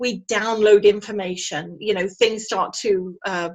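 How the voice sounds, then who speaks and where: With a British accent, a woman talks at a fairly slow pace. Her pitch swings very widely. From England. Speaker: energy healer. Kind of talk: interview.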